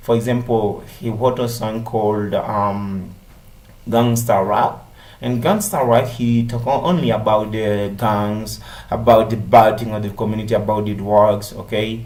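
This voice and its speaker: Speaking with a fairly low pitch, this man is heard amid audible room echo. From Haiti. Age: 30s. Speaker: English language student. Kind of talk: class presentation. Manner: halting, many fillers.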